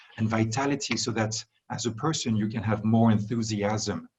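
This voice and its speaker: Speaking with a French accent, a man has a medium pitch, a somewhat breathy voice and a moderate pace. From France. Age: 40s. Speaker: wellness industry executive. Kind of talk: interview. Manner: halting, many fillers and restarts.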